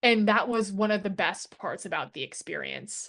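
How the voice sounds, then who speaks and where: Fairly high in pitch, a woman speaks with an American accent at a fairly slow pace. The background is quiet. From New York. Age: 30s. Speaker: drag king performer. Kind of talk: casual interview.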